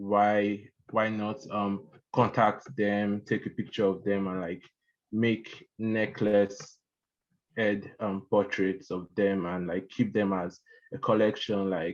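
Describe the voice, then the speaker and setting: At a very slow pace, a man talks in a fairly low pitch with fairly even intonation. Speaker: artist, award winner. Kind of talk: acceptance speech on video call. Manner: halting, stuttering.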